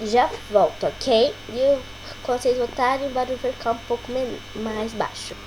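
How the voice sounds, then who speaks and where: A woman speaking at a fairly slow pace with ordinary pitch variation, amid noticeable background noise. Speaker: gaming youtuber. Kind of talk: gameplay commentary. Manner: quiet; hesitant.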